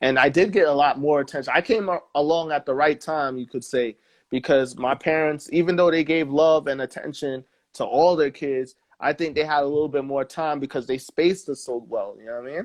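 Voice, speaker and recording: A man with a New York accent speaks at a fairly high pitch. The sound is dry and close with no echo, over a quiet background. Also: ordinary pitch variation. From New York, Staten Island. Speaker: musician. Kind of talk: interview. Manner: casual.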